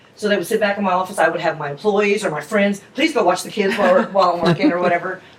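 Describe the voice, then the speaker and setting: A woman with an American accent speaks at a very fast pace with hardly any pauses. Her voice is medium-pitched with ordinary pitch variation, and there is noticeable background noise. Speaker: restaurant owner. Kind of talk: interview. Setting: in her restaurant. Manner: loud; casual, chatty.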